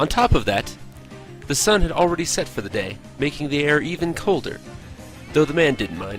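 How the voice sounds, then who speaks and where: With music in the background, a man talks at a fairly quick pace in a fairly high pitch, swinging very widely and pausing long and often. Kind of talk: read story. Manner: halting, unpolished reading.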